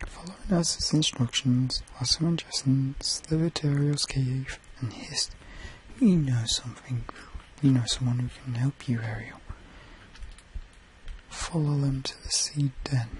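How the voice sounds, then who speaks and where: Over noticeable background noise, a man whispers at a moderate pace with a British accent. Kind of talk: bedtime story reading. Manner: whispered.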